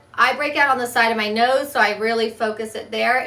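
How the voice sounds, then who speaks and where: Fairly quick in pace, a raspy put-on character voice comes through. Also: woman, fairly high pitch for a woman. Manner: voice jiggling from face washing.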